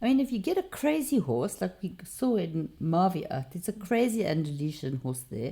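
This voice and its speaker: A woman talks at a moderate pace with hardly any pauses and a medium pitch. Her tone is dark, mellow and somewhat breathy, with very wide pitch swings. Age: 60s. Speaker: company founder and horse coach. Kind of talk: casual interview.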